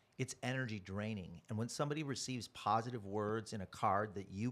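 A man with an American accent has an ordinary speaking voice. His medium pitch moves with ordinary variation. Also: very clean recording, silent background. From US Midwest, Chicago south suburbs. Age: 60s. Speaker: network marketing speaker. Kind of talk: interview.

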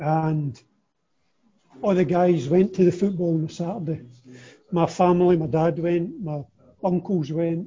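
A man with an Ayrshire accent, high pitch, fairly even intonation, and a fairly slow pace broken by long, frequent pauses. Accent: Ayrshire Scottish. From Scotland, Kilmarnock (Ayrshire). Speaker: former footballer. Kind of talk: casual interview.

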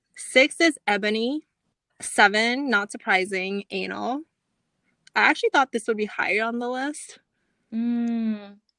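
A woman with an American accent and a bright, sharp tone, fairly slow with long, frequent pauses and ordinary pitch variation, in a dry, close, echo-free, very clean recording over a silent background. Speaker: podcast co-host. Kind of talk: casual chat.

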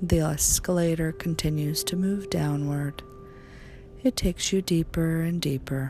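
Over music in the background, a woman with a fairly low pitch speaks at a fairly slow pace in a calm, soothing tone with ordinary pitch variation. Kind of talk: guided meditation. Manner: slow, soothing and hypnotic; soft-spoken, calm, gently paced with long pauses.

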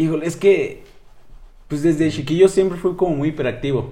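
A man talks at a moderate pace with a dark, mellow tone. His voice is somewhat breathy. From northern Mexico, Chihuahua. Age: 20s. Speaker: psychology student and podcaster. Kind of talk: casual interview.

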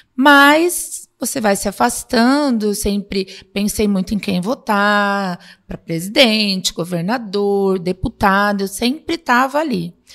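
Recorded very cleanly against a silent background, a woman with a normal speaking voice talks at a fairly slow pace, her medium pitch moving with lively intonation. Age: 50s. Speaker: city councillor and psychologist. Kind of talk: casual interview.

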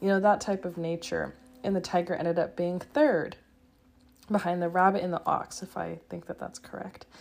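In a plain, everyday voice, a woman talks at a moderate pace with a fairly low pitch. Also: ordinary pitch variation. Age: 20s. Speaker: podcast host. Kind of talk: casual solo chat.

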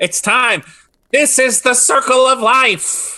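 A man in a put-on character voice, extremely high-pitched, at a fairly slow pace. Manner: resigned, cheerful.

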